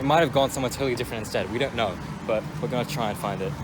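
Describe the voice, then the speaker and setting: A man at a medium pitch, with noticeable background noise. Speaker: car spotting vlogger. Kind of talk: vlog narration and walkaround. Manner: enthusiastic; hushed.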